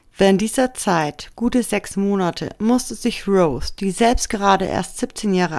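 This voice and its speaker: A woman's ordinary speaking voice at medium pitch and a fairly slow pace, on a very clean recording with a silent background. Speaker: true crime video narrator. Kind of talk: scripted true-crime documentary narration, serious and factual. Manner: measured, even-paced and sombre; formal, informative, addressing viewers directly.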